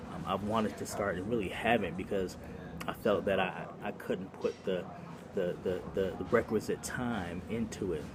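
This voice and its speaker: Soft-spoken and fairly low in pitch, a man talks at a moderate pace with fairly even intonation. Noticeable background noise is present. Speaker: former pastor and doctoral student vlogger. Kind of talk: casual vlog monologue. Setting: cafe. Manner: halting, many fillers and repetitions.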